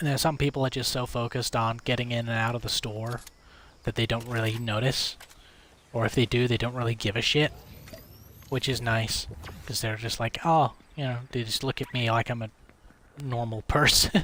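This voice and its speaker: A man with an American accent, medium-pitched, bright and sharp in tone yet relaxed, monotone and flat, at a moderate pace with long, frequent pauses. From United States (moved to UK at about 10-11). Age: 20s. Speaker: gaming streamer. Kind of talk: casual chat. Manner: relaxed, late-night chill; halting with repetitions.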